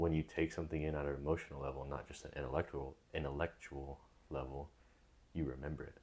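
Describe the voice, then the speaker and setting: A man's very deep, low voice with vocal fry, very fast and monotone, flat in intonation. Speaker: podcast host. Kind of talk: casual chat. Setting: home, someone sleeping nearby.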